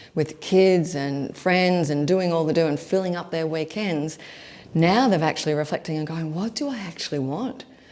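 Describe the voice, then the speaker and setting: Ordinary pitch variation in a female speaker's fairly low-pitched voice. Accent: Australian. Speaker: leadership coach. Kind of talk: online workshop. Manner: fast.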